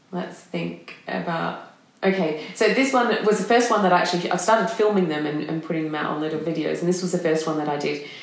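A woman speaks very fast in an Australian accent, with fairly low pitch, ordinary pitch variation and hardly any pauses. Audible room echo and noticeable background noise surround her voice. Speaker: presentation and voice coach. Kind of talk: interview.

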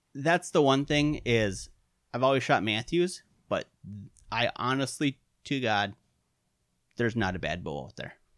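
A man in a Wisconsin accent, medium pitch, lively intonation and long, frequent pauses. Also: very clean recording, silent background. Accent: Upper Midwest (Wisconsin). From Upper Peninsula of Michigan, raised in western Wisconsin. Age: 30s. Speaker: archery industry veteran and bowhunter. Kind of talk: casual interview chat. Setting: studio, face to face. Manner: hesitant, many fillers.

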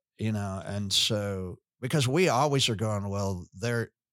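In a very clean recording with a silent background and a dry, close sound with no echo, a man has an unremarkable speaking voice with fairly low pitch and ordinary pitch variation. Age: 60s. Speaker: pastor. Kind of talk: casual chat.

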